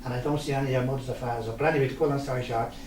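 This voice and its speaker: A man with a Dublin accent and a fairly high pitch, amid noticeable background noise and audible room echo. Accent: Dublin Irish. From Ireland, Dublin (Ballyfermot). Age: 70s. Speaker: local resident sharing memories. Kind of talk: interview, personal reminiscence.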